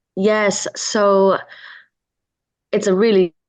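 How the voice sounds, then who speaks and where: The voice comes with a Chinese accent and a dry, close sound with no echo. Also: woman, quiet background. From Hong Kong, raised in England from nine. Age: 40s. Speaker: entrepreneur and film producer. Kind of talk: interview. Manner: halting, many fillers.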